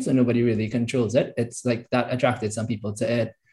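Somewhat breathy, a man with a medium pitch and a dark, mellow tone talks at a fairly quick pace with monotone, flat intonation. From Trinidad. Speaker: software engineer. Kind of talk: casual interview.

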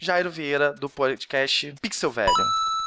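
Music sounds in the background. A man speaks fairly slowly. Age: 30s. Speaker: podcast host. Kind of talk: scripted show intro; casual chat.

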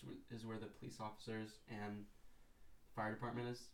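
There is audible room echo as a man talks at a fairly quick pace and medium pitch. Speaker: skateboarder. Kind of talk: casual chat. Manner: deadpan.

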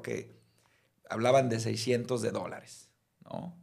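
This man talks at a fairly slow pace with a medium pitch. His voice carries some vocal fry. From Mexico, Mazatlán (Sinaloa). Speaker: criminal defense lawyer. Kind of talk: casual chat.

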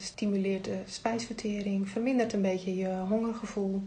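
At a moderate pace, a woman of medium pitch speaks in a dark, mellow, somewhat breathy tone with monotone, flat intonation and audible room echo. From Netherlands, North Holland (Heemskerk). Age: 50s. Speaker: tea product distributor. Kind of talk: casual interview. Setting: studio, face to face at table.

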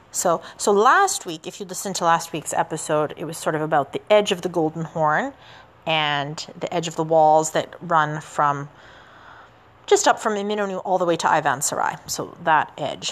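A woman with a Canadian accent talks in a plain, everyday voice. Her pitch is fairly low, with ordinary variation. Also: moderate pace. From Canada. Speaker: podcast host and teacher. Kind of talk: solo history podcast narration. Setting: outdoors walking in the city. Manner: casual, with many fillers.

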